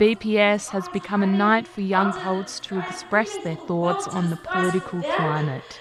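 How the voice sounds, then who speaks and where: With music in the background, a woman of medium pitch speaks at a moderate pace with ordinary pitch variation and hardly any pauses. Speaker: news reporter. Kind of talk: news report narration.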